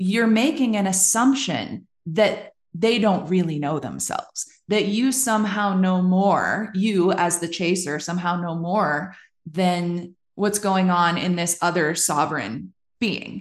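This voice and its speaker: A woman with an unremarkable speaking voice talks at a fairly slow pace, keeping a medium pitch and ordinary pitch variation. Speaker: podcast host. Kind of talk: casual interview chat.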